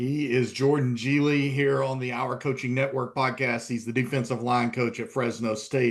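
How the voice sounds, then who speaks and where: Moderate pace from a man of medium pitch with a slight East Tennessee accent, his intonation flat and monotone. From US South, East Tennessee. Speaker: sports journalist and podcast host. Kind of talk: podcast interview.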